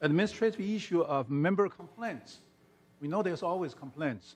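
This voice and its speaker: A loud voice moves at a moderate pace with lively intonation. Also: man. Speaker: resident commenting at meeting. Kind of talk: public comment at meeting.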